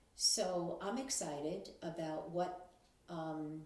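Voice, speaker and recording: A woman with a fairly low pitch and ordinary pitch variation is heard with audible room echo and noticeable background noise. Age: 70s. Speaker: grandmother talking about technology. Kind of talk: casual monologue to camera. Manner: hesitant with fillers.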